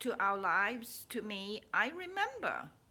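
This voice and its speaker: A woman's raised, projected voice, bright and sharp in tone, with very wide pitch swings. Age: 60s. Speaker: spiritual vlogger and author. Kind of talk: casual personal vlog. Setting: at home. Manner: halting, with many repeats.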